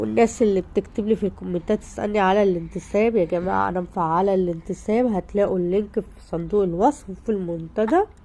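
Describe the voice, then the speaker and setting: In an Egyptian accent, a woman speaks fairly quickly, with hardly any pauses. Her dark, mellow tone sits at medium pitch with ordinary variation. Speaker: home lifestyle vlogger. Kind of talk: vlog to viewers. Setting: at home. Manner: animated.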